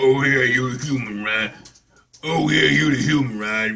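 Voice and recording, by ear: A guttural, put-on character voice from a man, pitched in the medium range. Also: moderate pace.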